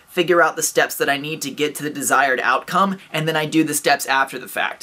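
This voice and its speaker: At a fairly quick pace, a man speaks in an upbeat tone. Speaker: vlogger. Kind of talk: casual talk to camera, motivational advice. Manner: upbeat, fast.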